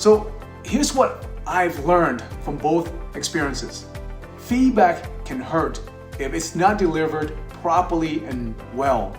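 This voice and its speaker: Fairly slow speech from a man, with music in the background. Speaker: leadership coach. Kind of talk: talk to camera on leadership.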